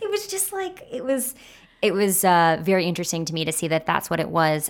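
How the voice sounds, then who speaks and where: This woman has an unremarkable speaking voice. Her pitch is fairly low. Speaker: podcast host. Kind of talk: casual chat.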